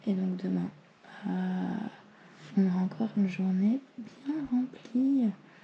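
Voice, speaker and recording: Very slow whispering from a woman, broken by long, frequent pauses. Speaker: travel vlogger. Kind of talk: vlog. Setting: hotel room.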